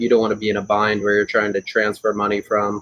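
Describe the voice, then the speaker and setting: A man talks in a fairly low voice. Noticeable background noise runs behind him. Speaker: auctioneer. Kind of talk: expert interview answer about real estate auctions.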